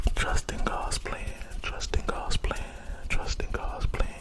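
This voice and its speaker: Whispering very slowly, a man speaks over noticeable background noise. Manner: whispered, soft-spoken, slow, repetitive.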